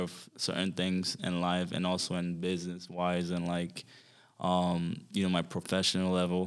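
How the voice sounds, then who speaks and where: A man speaks in a Haitian accent. His very deep, low pitch stays monotone and flat. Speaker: fitness trainer. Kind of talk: interview conversation. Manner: hesitant, many fillers.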